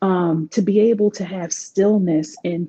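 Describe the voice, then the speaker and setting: A dark, mellow tone with ordinary pitch variation, in a DC accent. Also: woman. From Washington DC. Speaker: life coach. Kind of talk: interview.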